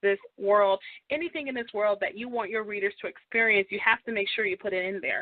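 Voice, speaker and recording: This woman speaks with a fairly high pitch. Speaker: radio talk show host. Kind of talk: radio interview. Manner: fast.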